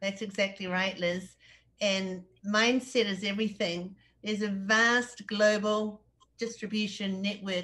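A woman in a New Zealand accent, at a fairly slow pace with fairly even intonation. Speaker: interviewer. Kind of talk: interview. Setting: video call. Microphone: video call.

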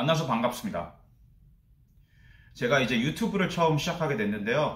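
Somewhat breathy, this man's fairly high voice makes very wide pitch swings over audible room echo. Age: 30s. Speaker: office worker. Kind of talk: casual talk to camera. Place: home room.

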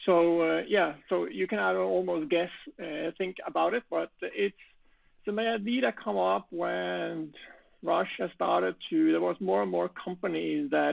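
The background stays quiet while a man speaks at a fairly slow pace. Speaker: conference speaker. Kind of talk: interview answer. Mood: friendly, smiling. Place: home room. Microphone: video call.

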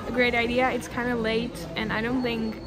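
A woman's voice over noticeable background noise. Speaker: vlogger. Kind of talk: casual vlog chat. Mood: amused, mildly stressed. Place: station. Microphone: phone near.

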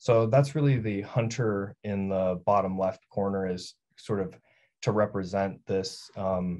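With an American accent, a man speaks at a fairly low pitch and ordinary pitch variation. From US Northwest, northern Idaho. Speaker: painting professor. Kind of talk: gallery talk. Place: home room. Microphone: video call.

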